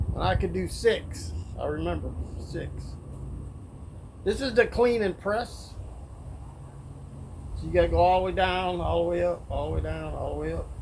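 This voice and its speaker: A man at a moderate pace with long, frequent pauses, his voice carrying audible room echo. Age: 60s. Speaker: fitness vlogger. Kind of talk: casual workout vlog. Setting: outdoors, backyard. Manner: casual, halting.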